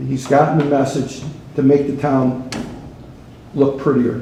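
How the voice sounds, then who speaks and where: Moderate pace with an American accent, amid noticeable background noise and audible room echo. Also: man. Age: 70s. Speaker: resident speaking at public comment. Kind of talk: public comment at town meeting. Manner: halting, repeats words.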